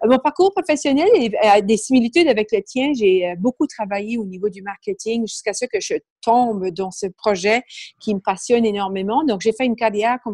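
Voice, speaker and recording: A slight Acadian accent at a moderate pace, with a dry, close sound, no echo, and a very clean recording with a silent background. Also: woman. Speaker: business book club founder. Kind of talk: interview.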